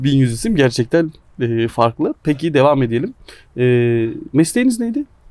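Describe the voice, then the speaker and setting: A man with a fairly high pitch speaks at a moderate pace with very wide pitch swings and long, frequent pauses, in a dry sound with no echo and a quiet background. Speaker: sports channel interviewer. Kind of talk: casual interview and word game. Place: garden.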